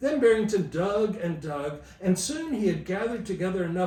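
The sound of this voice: The text comes in an unforced reading voice with lively intonation.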